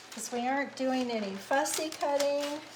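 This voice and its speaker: The speech moves at a fairly slow pace. Background noise is noticeable throughout. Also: woman. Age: 70s. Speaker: craft tutorial host. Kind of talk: casual chat; live craft tutorial.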